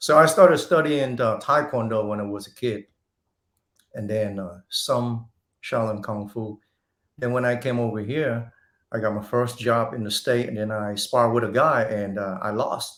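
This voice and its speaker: The speaker has a Vietnamese accent and talks at a moderate pace. Pitch variation is ordinary. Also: man, medium pitch for a man. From Vietnam (Saigon), moved to Texas as teen. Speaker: martial arts instructor and actor. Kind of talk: interview. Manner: halting.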